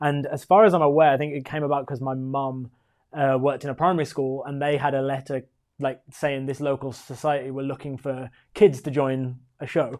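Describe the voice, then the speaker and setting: A man with a West Midlands accent speaks at a fairly quick pace and a fairly high pitch. His intonation stays fairly even over a quiet background. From West Midlands, England (Walsall). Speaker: musical theatre performer. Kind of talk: casual chat. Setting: live stream chat show.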